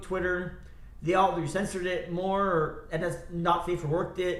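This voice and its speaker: A man speaks loudly at a moderate pace, his high pitch held in fairly even intonation. Audible room echo surrounds his voice. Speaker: live streamer. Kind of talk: casual live stream chat. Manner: rambling, halting with fillers.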